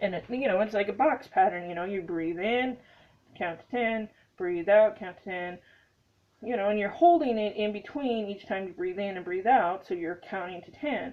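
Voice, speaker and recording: Her loudness rises and falls sharply as this woman talks at a moderate pace. She has a medium pitch with ordinary variation and an American accent. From Montana. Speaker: vlogger. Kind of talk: casual chat. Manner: hesitant, many fillers.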